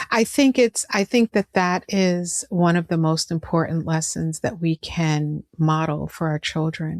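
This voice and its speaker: In a plain, everyday voice, a woman with a fairly low pitch talks at a fairly slow pace with hardly any pauses, in a dry, close sound with no echo and a very clean recording against a silent background. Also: ordinary pitch variation. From New York (Brooklyn). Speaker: podcast host. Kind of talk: interview conversation.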